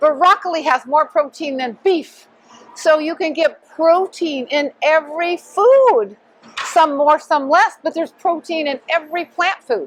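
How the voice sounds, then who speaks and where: A woman with a high-pitched voice. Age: 70s. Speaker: fitness instructor and vegan coach. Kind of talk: interview answer.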